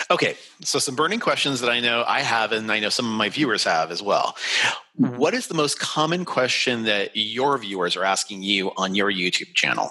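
A man with an American accent speaks at a moderate pace and a medium pitch, his intonation lively, over noticeable background noise. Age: 40s. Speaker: travel podcast host. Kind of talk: interview.

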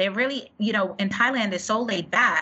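A woman talks in a medium pitch. Behind her, background noise is noticeable. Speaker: podcast co-host. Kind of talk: casual interview.

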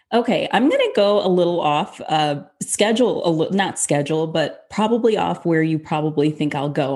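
With a normal speaking voice, a woman talks at a moderate pace and a fairly low pitch. Her ordinary pitch variation sits over a quiet background. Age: 40s. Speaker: fitness coach. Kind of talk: casual interview chat.

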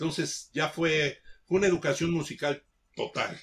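A man is speaking. His voice is somewhat breathy. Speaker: veteran DJ. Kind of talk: casual chat.

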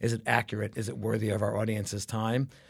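A man with an American accent talks at a fairly quick pace. His fairly low voice carries vocal fry. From Brooklyn, New York. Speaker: advertising creative executive. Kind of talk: interview.

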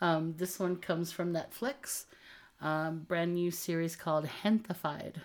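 With a normal speaking voice, a woman talks at a fairly slow pace in a fairly low pitch, keeping very even loudness and fairly even intonation. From US South, Texas-Mexico border. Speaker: podcast co-host. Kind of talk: casual chat.

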